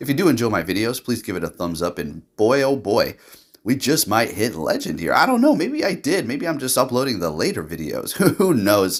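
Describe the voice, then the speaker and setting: At a fairly quick pace, a man with a medium pitch and vocal fry speaks in very wide pitch swings. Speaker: gaming youtuber. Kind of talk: game commentary. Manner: casual, many fillers.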